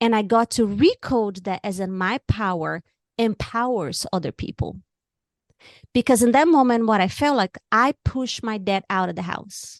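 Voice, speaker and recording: With a Brazilian Portuguese accent, the speaker goes at a moderate pace and ordinary pitch variation, in a dry, close sound with no echo over a quiet background. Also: woman, fairly high pitch for a woman. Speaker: author and music therapist. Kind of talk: interview.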